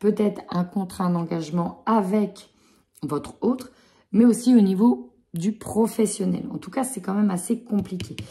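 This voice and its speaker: A woman speaks slowly, with a dark, mellow tone and a somewhat breathy quality. Her pitch is medium, with ordinary pitch variation. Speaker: tarot card reader. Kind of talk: tarot reading.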